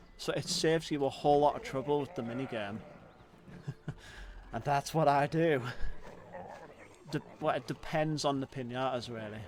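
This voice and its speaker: A man with a strong British accent speaks at a moderate pace, his voice fairly high with ordinary pitch variation. He leaves long, frequent pauses. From Britain. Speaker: gaming streamer. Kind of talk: gameplay livestream commentary. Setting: livestream. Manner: animated.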